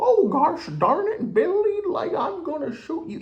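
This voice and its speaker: Using a put-on character voice, the speaker goes extremely high in pitch with very wide pitch swings at a moderate pace. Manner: folksy, exasperated.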